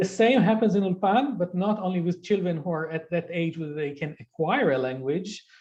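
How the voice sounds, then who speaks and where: An Israeli accent with hardly any pauses. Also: moderate pace. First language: Hebrew. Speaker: Hebrew language specialist. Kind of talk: interview conversation.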